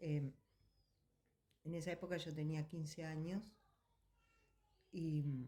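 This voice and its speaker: Very slowly and with long, frequent pauses, a woman speaks in a very deep, low pitch with a dark, mellow tone, somewhat breathy and in a monotone, flat intonation. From Argentina. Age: 60s. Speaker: interviewee, eyewitness. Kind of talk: testimony. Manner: hesitant, with fillers.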